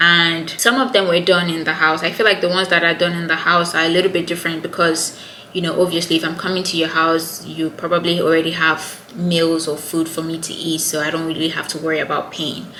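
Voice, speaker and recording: A woman with a Nigerian accent speaks in a fairly low, monotone voice with flat intonation and hardly any pauses. Audible room echo and noticeable background noise are present. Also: fairly quick pace. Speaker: YouTuber. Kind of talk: casual chat.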